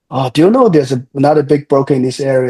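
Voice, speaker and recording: A somewhat breathy man with a Chinese accent speaks very fast with fairly even intonation. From China. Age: 30s. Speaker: real estate developer. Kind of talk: interview. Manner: halting, many repetitions and fillers.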